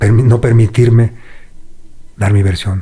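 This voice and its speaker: Somewhat breathy and fairly low, a man's voice moves at a fairly slow pace with monotone, flat intonation. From Mexico City. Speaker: former prisoner. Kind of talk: interview.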